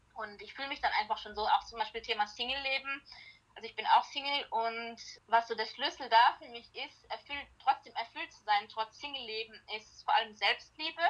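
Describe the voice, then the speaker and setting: Her loudness swings widely as a woman with a normal speaking voice talks at a moderate pace with ordinary pitch variation. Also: fairly high pitch for a woman. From Germany, Heilbronn-Heidelberg area. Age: 30s. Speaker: life coach and founder of a self-help product. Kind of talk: casual interview.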